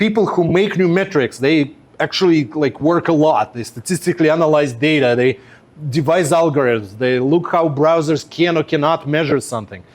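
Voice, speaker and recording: This man speaks with a Russian accent. His pitch variation is ordinary. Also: fairly high pitch for a man, moderate pace. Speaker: web performance engineer. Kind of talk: workshop presentation. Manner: conversational with many fillers.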